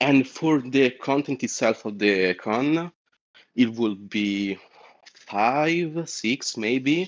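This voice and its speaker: A man with a non-native accent speaks very slowly at a medium pitch. His intonation is lively. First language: not English. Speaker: caller. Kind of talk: call-in discussion. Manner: halting, many fillers.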